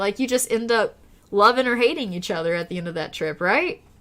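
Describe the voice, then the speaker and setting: A woman with an Oklahoma accent talks at a fairly quick pace in a fairly high pitch. Her tone is bright and sharp, with very wide pitch swings. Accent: Oklahoman (Okie). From Oklahoma, US. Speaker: live streamer. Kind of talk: casual live stream chat. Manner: casual, chatty.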